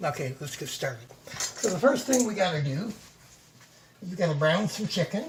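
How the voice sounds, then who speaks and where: Speech comes at a fairly quick pace, broken by long, frequent pauses. Noticeable background noise runs underneath. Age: 60s. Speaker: home cook vlogger. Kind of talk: cooking tutorial. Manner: casual.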